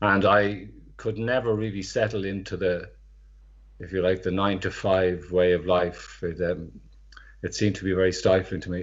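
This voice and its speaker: A man with a Dublin accent talks at a moderate pace in a very deep, low voice with monotone, flat intonation. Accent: Dublin Irish. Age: 60s. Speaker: market insurance scheme manager, former street trader. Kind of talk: interview.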